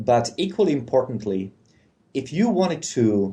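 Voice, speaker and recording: Lively in intonation, a man with a non-native accent speaks in a dark, mellow tone. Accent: foreign. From Czechoslovakia. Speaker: policy analyst. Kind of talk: interview.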